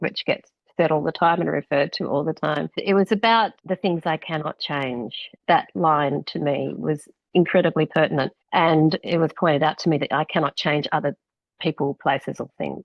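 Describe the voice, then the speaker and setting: A woman's very deep, low voice in an Australian accent, with ordinary pitch variation at a moderate pace. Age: 60s. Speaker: author and former radio presenter. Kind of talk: interview conversation.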